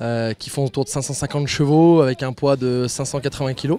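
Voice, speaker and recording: Noticeable background noise can be heard. A man speaks fairly quickly over it. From eastern France, Ain. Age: 20s. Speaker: racing driver. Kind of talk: interview. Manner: hesitant, many fillers.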